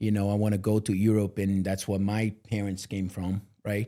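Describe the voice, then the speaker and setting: A man with a non-native accent speaks at a moderate pace in a dark, mellow tone. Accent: foreign. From Brazil. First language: Portuguese. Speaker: multifamily real estate leader. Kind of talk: interview. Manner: casual conversational.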